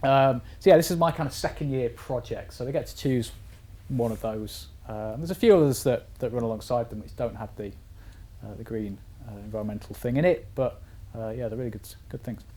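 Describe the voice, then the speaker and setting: This man talks at a fairly quick pace. His loudness swings widely. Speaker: university lecturer. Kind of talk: lecture. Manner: fast.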